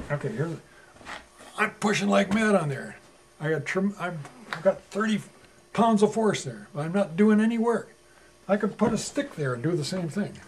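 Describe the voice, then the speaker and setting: A man with a high pitch speaks at a moderate pace, with long, frequent pauses. Noticeable background noise runs underneath. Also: lively intonation. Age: 70s. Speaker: energy educator and author. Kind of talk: explanatory talk to students.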